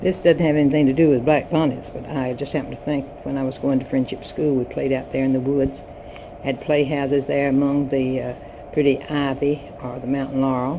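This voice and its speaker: In a North Carolina accent, a voice delivers monotone, flat speech against noticeable background noise. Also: woman, very deep, low pitch for a woman. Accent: Southern US, North Carolina. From US South, Yadkin County, North Carolina. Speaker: retired teacher. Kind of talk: personal reminiscence. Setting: home recording.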